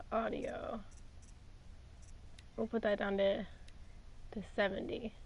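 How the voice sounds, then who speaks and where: Quiet and fairly slow, a woman speaks with long, frequent pauses. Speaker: video game streamer. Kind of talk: live gameplay commentary. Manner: talking quietly.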